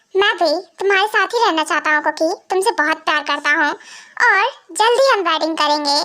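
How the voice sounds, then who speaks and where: Putting on a character voice in an extremely high pitch, a woman talks at a fairly quick pace. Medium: fan dub.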